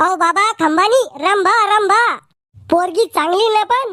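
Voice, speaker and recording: A man puts on a cartoonish character voice pitched extremely high. He speaks at a very slow pace. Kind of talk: comic overacting. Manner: cheeky, mocking.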